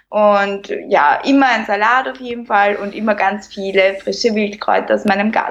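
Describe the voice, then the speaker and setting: Speaking with an Austrian accent, a woman at a medium pitch keeps a moderate pace and fairly even intonation, with hardly any pauses. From Lower Austria, near Vienna. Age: 30s. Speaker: plastic surgery clinic worker and Instagram creator. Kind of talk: casual interview.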